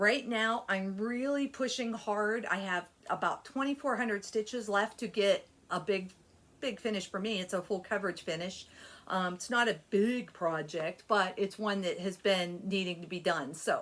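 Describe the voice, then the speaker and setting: A woman with an ordinary speaking voice talks at a moderate pace, using a medium pitch and ordinary pitch variation. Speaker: cross stitch youtuber. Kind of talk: casual vlog chat. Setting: home desk area.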